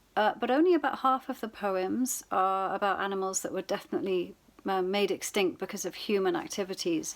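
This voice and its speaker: In a British accent, a woman talks at a fairly quick pace with hardly any pauses. Her pitch varies in an ordinary way. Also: medium pitch for a woman, very clean recording, silent background. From UK. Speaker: poet. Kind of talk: poetry reading with commentary. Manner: hesitant, many fillers.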